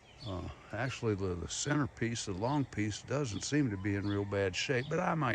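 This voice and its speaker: A man with an Appalachian accent talks at a fairly slow pace. His tone is relaxed and his intonation lively. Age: 70s. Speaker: video blogger. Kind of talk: casual vlog monologue. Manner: relaxed, halting with fillers.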